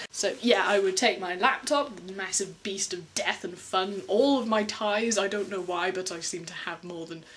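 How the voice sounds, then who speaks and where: A woman with an English accent over noticeable background noise. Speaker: vlogger, animation artist. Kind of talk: casual vlog, answering viewer questions. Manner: animated; fast.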